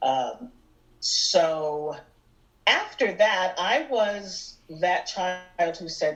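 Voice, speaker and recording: A woman with an American accent speaks at a medium pitch with lively intonation over noticeable background noise. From US Northeast, Erie, Pennsylvania. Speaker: musical theater singer and actress. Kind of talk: interview chat. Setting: podcast.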